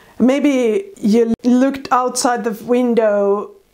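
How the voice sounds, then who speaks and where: A woman's dark, mellow voice with a Finnish accent at a very slow pace. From Finland. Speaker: artist. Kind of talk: tutorial.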